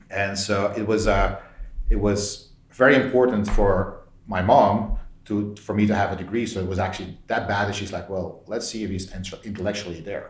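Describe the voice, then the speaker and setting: Amid audible room echo, a man with a Belgian accent speaks at a fairly low pitch with fairly even intonation. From Belgium. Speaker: tech executive. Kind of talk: interview.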